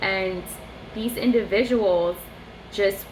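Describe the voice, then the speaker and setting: Against noticeable background noise and audible room echo, a woman speaks fairly slowly at a medium pitch with ordinary pitch variation. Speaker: vlogger. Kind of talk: casual monologue vlog. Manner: halting.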